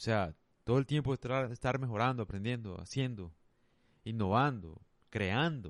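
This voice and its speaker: Moderate pace with long, frequent pauses, ordinary pitch variation and very even loudness over a quiet background. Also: man, medium pitch for a man. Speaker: podcaster. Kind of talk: casual solo monologue.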